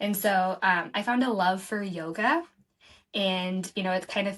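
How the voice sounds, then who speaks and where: A woman with a normal speaking voice speaks at a medium pitch. Her pace is fairly slow and her intonation fairly even. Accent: American. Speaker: nonprofit director. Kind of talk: podcast interview.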